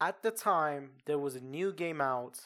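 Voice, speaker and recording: Fairly slow speech in a Persian accent. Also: man. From Iran. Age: 20s. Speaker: podcast host. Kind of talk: casual storytelling. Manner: halting, many fillers.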